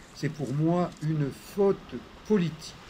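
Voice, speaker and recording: A man's fairly high voice at a very slow pace, lively in intonation, over noticeable background noise. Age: 70s. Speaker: physiotherapist. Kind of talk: casual talk to camera, opinion monologue. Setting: outdoors. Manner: calm, polite.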